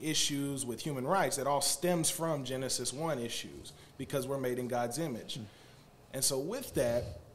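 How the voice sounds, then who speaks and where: A man at a medium pitch talks at a fairly slow pace with ordinary pitch variation, in a normal speaking voice. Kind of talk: casual chat. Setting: studio.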